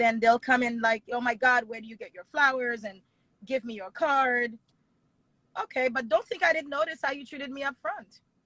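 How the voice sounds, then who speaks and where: A woman's high, bright, sharp voice at a moderate pace, with ordinary pitch variation, big swings in loudness, and a dry, close sound with no echo. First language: not English. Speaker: wedding planner and business owner. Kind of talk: interview conversation.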